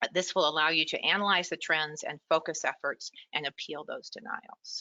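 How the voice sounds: A woman uses a put-on character voice, fairly low and hoarse. She keeps a moderate pace.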